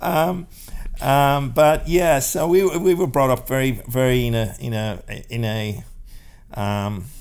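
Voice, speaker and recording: A man's medium-pitched voice, very slow, with lively intonation and audible room echo. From Ireland, rural County Clare. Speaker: salon business founder. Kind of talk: podcast interview. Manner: halting, many repetitions and fillers.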